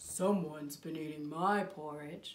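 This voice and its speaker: The pitch sits in the middle range. It is a put-on character voice. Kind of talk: bedtime story. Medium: read story.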